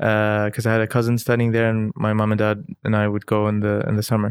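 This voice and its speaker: A man with an Arabic accent speaks at a fairly quick pace and medium pitch, in a very clean recording with a silent background. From Dubai, UAE. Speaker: cultural historian and entrepreneur. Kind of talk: casual interview conversation. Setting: host's home.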